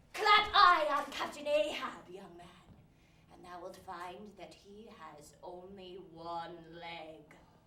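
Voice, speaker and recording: Putting on a gruff character voice at medium pitch, a woman goes very slowly, with very wide pitch swings, big swings in loudness and slight echo. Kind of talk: archaic stage speech. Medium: stage play. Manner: gruff, blunt, old-fashioned thee and thou.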